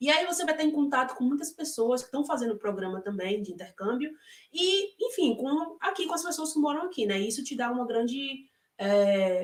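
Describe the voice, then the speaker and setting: High-pitched female speech at a moderate pace, full of very wide pitch swings. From Brazil, Salvador, Bahia (Northeast). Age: 30s. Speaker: former au pair, interviewee. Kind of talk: interview. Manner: hesitant, many fillers.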